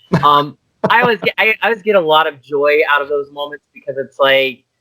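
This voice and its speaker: Speaking with a Pittsburgh accent, a man uses lively intonation at a fairly quick pace. His tone is bright and sharp, and the sound is dry and close with no echo. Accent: Pittsburgh American English. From US, Pittsburgh. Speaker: idol manager and director. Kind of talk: casual interview chat.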